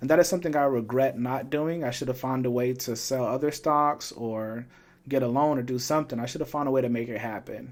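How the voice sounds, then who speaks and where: A man speaks with an ordinary speaking voice at medium pitch. His intonation stays fairly even. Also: fairly quick pace. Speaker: finance YouTuber. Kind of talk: tutorial. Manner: casual, some filler words.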